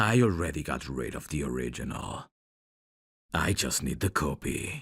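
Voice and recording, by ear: A man's put-on character voice, extremely low in pitch, with big pitch swings, a fairly bright tone, a slightly husky edge and a fairly slow pace.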